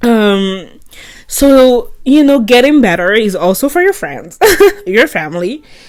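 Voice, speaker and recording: Very wide pitch swings mark this fairly slow delivery in a French accent. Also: woman, high pitch for a woman. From France. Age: 20s. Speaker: vlogger. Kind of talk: casual monologue. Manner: rambling stream of consciousness.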